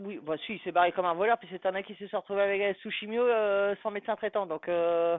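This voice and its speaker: A woman talks in a plain, everyday voice, medium in pitch, at a moderate pace and with ordinary pitch variation. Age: 40s. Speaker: live streamer. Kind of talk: casual chat. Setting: live stream.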